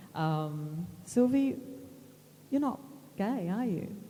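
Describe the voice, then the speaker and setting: Audible room echo colors a woman's medium-pitched voice as it makes very wide pitch swings. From Australia. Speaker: moderator, magazine editor. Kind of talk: panel moderation.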